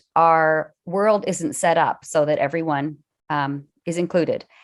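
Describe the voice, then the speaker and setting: A woman's ordinary speaking voice, fairly low in pitch, with fairly even intonation at a fairly slow pace. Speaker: arts presenter and interviewer. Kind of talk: online presentation. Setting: video call.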